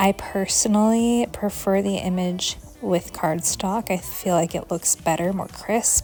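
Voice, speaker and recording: Noticeable background noise sits behind a woman speaking at medium pitch. She talks at a fairly slow pace with hardly any pauses and fairly even intonation. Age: 30s. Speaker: flight attendant and savings challenge vlogger. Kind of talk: chatty voiceover. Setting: home voiceover. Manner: chatty.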